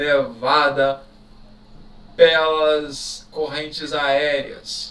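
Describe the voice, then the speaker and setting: A man's voice amid noticeable background noise. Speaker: teacher. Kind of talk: exam review lecture. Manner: casual, conversational.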